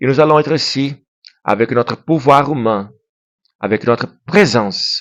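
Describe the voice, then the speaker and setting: A non-native accent with ordinary pitch variation, in a dry, close recording with no echo. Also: man. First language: Portuguese (speaking French). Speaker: YouTuber. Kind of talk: monologue to camera. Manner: halting; impassioned.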